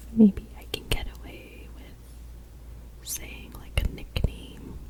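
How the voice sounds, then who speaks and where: Over noticeable background noise, the speaker uses a gentle, relaxed tone at a very slow pace. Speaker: ASMR creator. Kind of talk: ASMR game-playing talk to camera. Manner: soft-spoken, gentle, relaxed.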